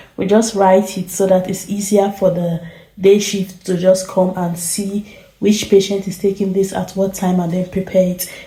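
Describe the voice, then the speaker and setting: A soft-spoken woman talks at a moderate pace in a medium pitch with monotone, flat intonation, over noticeable background noise. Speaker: nurse. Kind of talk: vlog narration. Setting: hospital ward at night.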